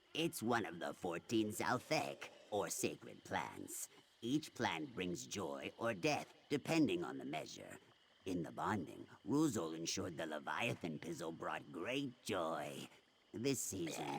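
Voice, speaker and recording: At a fairly slow pace, a man puts on a character voice with a very deep, low pitch and very wide pitch swings. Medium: video game. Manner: grave, solemn.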